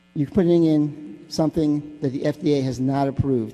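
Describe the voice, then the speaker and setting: The voice has a dark, mellow tone and an American accent. It moves at a moderate pace. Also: man. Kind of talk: public comment speech. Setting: city council chamber. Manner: halting, many fillers and restarts.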